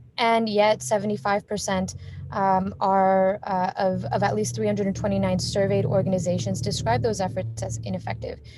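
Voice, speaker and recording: Over noticeable background noise and audible room echo, a woman speaks with a very deep, low pitch and very wide pitch swings. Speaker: conference speaker. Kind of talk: virtual conference presentation. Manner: fast; many filler words.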